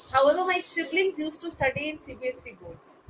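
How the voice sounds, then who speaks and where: In an Indian accent, a woman speaks at a moderate pace. Her intonation is lively. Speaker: English tutor. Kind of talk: one-on-one spoken English tutoring.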